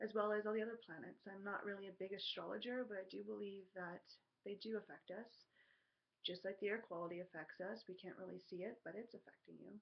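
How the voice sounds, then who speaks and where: A woman talks at a very fast pace. Her voice carries vocal fry. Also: medium pitch for a woman, fairly even intonation. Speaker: spiritual card reader. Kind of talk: tarot energy reading monologue. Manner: hesitant, many ums.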